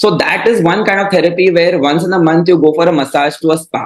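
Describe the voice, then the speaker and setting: In a Marathi accent, a man with a fairly high pitch speaks at a very fast pace against noticeable background noise. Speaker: classical vocalist and mental health advocate. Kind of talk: interview conversation. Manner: hesitant, many fillers.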